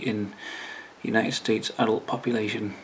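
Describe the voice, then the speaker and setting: Mumbling from a man, fairly low in pitch, at a moderate pace. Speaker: YouTuber. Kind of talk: casual talk to camera. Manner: hesitant, mumbling.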